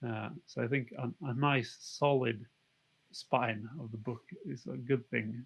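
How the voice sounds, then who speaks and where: A man with a non-native accent. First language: not English. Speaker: game designer. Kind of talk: interview. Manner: halting.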